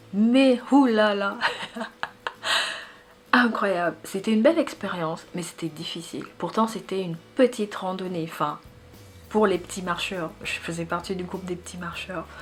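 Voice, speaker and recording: A woman with a Central African accent at a fairly slow pace, long, frequent pauses, ordinary pitch variation and noticeable background noise. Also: medium pitch for a woman, big swings in loudness. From Gabon. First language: Fang (speaking French). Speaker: YouTuber. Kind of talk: casual personal vlog. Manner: conversational, with hesitations.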